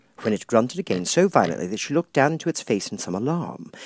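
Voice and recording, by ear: Fast and medium-pitched, a man talks with big pitch swings and a slightly husky edge.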